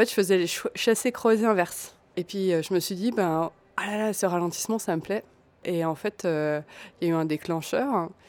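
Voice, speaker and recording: A woman speaks at a medium pitch and a moderate pace, with ordinary pitch variation. She leaves long, frequent pauses on a very clean recording with a silent background. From Alsace, France (small village). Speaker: textile designer and maker. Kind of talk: interview. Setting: café. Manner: hesitant, many fillers.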